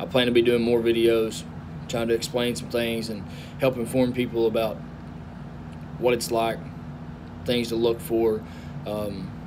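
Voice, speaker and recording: With a strong Southern US accent, the speaker leaves long, frequent pauses amid audible room echo. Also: man, medium pitch for a man, ordinary pitch variation, moderate pace. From US South. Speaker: truck driver. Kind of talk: casual vlog talk.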